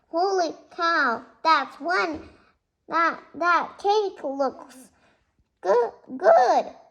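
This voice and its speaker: A woman's squeaky, put-on character voice at an extremely high pitch, very slow, with long, frequent pauses. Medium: read story. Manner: sweet, motherly.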